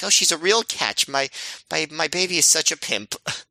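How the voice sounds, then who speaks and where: Moderately paced, fairly high-pitched speech from a man using a put-on character voice. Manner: proud, doting.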